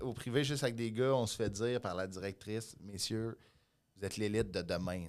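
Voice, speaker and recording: Against a silent background in a very clean recording, a man uses a plain, everyday voice with lively intonation. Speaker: comedian. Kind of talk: casual chat.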